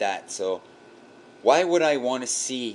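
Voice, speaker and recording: With a French Canadian accent, a man talks with ordinary pitch variation. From Quebec, Canada. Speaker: vlogger, web developer. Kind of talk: casual video response monologue. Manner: animated.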